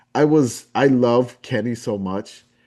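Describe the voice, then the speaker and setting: A man speaks in a New Orleans accent with a dark, mellow tone. The background is quiet. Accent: Southern drawl, New Orleans. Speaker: podcast host and community founder. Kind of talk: casual interview chat.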